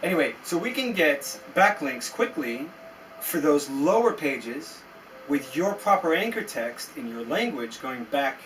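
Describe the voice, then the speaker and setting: A man talks at a fairly slow pace, his pitch swinging very widely. Noticeable background noise runs behind him. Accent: American. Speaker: SEO agency founder. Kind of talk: tutorial. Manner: animated.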